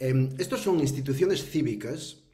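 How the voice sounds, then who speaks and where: A man speaks in a dark, mellow tone that is somewhat breathy. His pace is fairly slow, and audible room echo surrounds him. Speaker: professor. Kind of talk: webinar talk. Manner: hesitant, many fillers.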